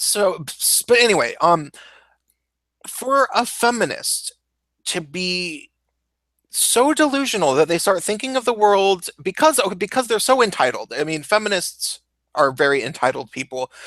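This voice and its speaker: With an American accent, a man speaks at a high pitch in a bright, sharp tone, fairly slowly, with very wide pitch swings, in a dry, close sound with no echo. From US Pacific Northwest, Seattle. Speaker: YouTuber and former DJ. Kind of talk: casual chat.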